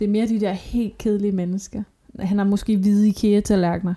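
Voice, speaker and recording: A woman's somewhat breathy, dark and mellow voice at medium pitch, flat and monotone, very even in loudness, at a fairly quick pace. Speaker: podcast co-host. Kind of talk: casual chat. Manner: ironic, dry delivery.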